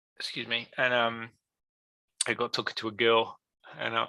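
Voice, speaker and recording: A man with an English accent speaks at a medium pitch in a bright, sharp tone, his intonation monotone and flat, the sound dry and close with no echo. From England. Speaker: card gaming business guest. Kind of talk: casual chat. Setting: live stream.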